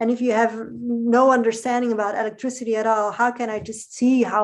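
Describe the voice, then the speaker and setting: A woman talks at a fairly quick pace with a Dutch accent. Her pitch is fairly high, her intonation monotone and flat. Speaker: podcast guest. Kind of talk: casual conversation.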